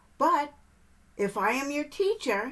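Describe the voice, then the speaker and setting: A woman's high-pitched, put-on character voice. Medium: read story. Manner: chirpy, bubbly.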